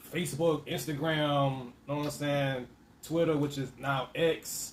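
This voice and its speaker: Somewhat breathy and fairly high-pitched, a man speaks fairly slowly with monotone, flat intonation but big swings in loudness. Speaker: parent. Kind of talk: casual conversation on camera.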